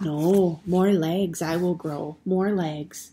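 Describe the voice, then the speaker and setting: In a put-on character voice, a woman speaks very slowly with a fairly low pitch. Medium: read story. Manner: inverted, halting phrasing.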